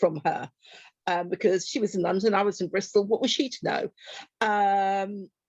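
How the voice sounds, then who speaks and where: A woman's normal speaking voice, medium in pitch with ordinary pitch variation, at a moderate pace, in a dry, close sound with no echo. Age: 60s. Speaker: activist and poet. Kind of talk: interview.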